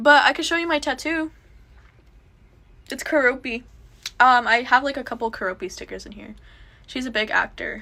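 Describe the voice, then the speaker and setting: A woman's raised, projected voice with a Southern Californian accent, high-pitched and bright and sharp in tone, with ordinary pitch variation, big swings in loudness, a moderate pace and long, frequent pauses. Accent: Valley Girl. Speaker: live streamer. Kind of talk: casual chat.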